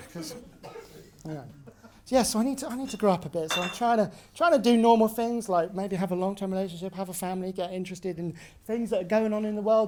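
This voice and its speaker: Over noticeable background noise, a man with a British accent talks at a very fast pace, high in pitch, with ordinary pitch variation. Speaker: comedian. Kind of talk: stand-up. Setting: stage with audience. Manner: halting.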